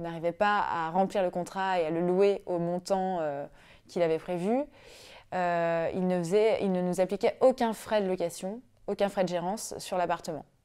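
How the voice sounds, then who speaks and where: The woman's tone is dark and mellow. She speaks at a fairly slow pace over a quiet background. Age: 30s. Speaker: web engineer, client of a property investment firm. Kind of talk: testimony. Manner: hesitant, frequent fillers. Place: home room.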